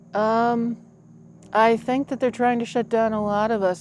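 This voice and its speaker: Here is a woman with an ordinary speaking voice. Her pitch is fairly high and her pace moderate. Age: 60s. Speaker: pagan high priestess. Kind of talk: interview. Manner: casual, with many fillers.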